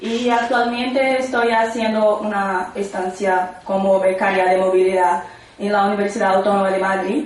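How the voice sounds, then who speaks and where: Noticeable background noise and audible room echo surround a woman speaking in a Portuguese accent with fairly even intonation. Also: medium pitch for a woman, moderate pace. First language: Portuguese (speaking Spanish). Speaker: psychology researcher. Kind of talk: conference talk. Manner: halting.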